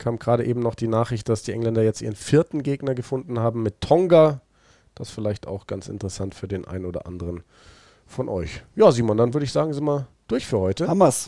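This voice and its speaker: Speaking at a very fast pace, a man has a dark, mellow tone and a medium pitch. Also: lively intonation, very clean recording, silent background. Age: 30s. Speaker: rugby podcast host. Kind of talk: casual chat.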